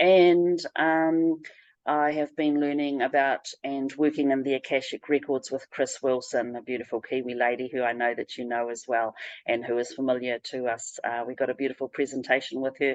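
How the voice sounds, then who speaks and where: A woman speaks at a moderate pace with a New Zealand accent. Her pitch is very deep and low, and her intonation is fairly even. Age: 60s. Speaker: spiritual practitioner. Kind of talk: interview. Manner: halting.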